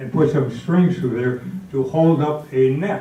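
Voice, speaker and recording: With audible room echo, a man in an American accent speaks at a fairly slow pace with ordinary pitch variation. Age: 90s. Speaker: community elder. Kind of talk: reminiscing speech.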